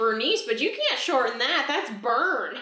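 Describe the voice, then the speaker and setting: A woman uses a put-on character voice at a high pitch with very wide pitch swings. Slight echo is audible. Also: moderate pace. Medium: actual play. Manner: chatty, fussy.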